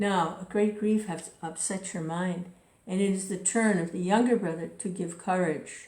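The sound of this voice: The reading here is done aloud. It comes in an unforced reading voice.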